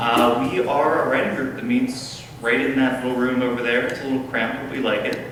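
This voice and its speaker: A man speaks at a medium pitch and a fairly quick pace, his intonation fairly even, with noticeable background noise and audible room echo. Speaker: writing group leader and emcee. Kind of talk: event hosting. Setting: stage with audience. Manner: loud.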